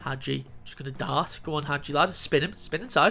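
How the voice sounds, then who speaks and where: A man's fairly high voice at a fairly quick pace, with music in the background. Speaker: gaming youtuber. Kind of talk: gameplay commentary. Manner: animated; stumbling over words.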